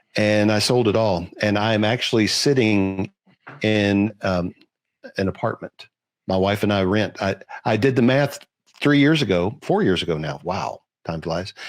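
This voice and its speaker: The voice is an ordinary speaking voice, a man's, pitched fairly low. His speed is moderate and his pitch varies in a usual way. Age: 60s. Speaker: real estate investor. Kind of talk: panel discussion.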